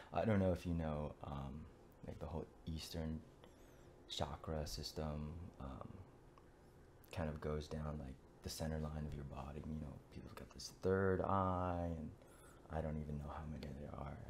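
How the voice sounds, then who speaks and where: Soft-spoken and somewhat breathy, a man with a very deep, low pitch talks at a moderate pace with fairly even intonation and long, frequent pauses. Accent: American. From United States. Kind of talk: casual talk to camera. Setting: in bed, late at night. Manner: soft-spoken, quiet.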